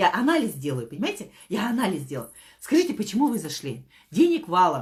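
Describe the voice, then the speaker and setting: Talking at a fairly quick pace, a woman uses vocal fry and an animated tone with very wide pitch swings. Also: medium pitch for a woman. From Kazakhstan. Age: 50s. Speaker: network marketing director. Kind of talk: motivational talk. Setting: live stream.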